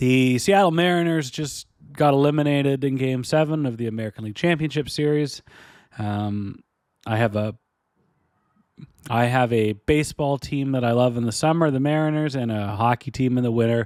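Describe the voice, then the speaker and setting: With ordinary pitch variation, the man's medium-pitched voice moves at a moderate speed. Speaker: podcast host. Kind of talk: casual chat. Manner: low energy.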